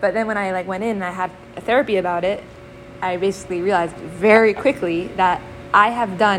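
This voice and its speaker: With noticeable background noise behind her, a woman talks at a medium pitch and with fairly even intonation. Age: 20s. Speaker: Torah teacher. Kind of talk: lecture.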